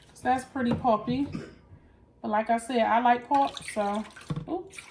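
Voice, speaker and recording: A woman speaks at a high pitch and a fairly slow pace. Noticeable background noise sits behind her. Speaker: lifestyle vlogger. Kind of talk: casual vlog tutorial. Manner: loud; animated.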